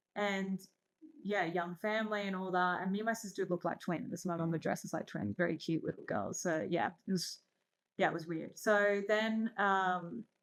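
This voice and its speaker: On a very clean recording with a silent background, a woman with an Australian accent talks at a moderate pace, her medium pitch carrying fairly even intonation. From Australia, born in Iran. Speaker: entrepreneur and investor. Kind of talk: casual interview chat.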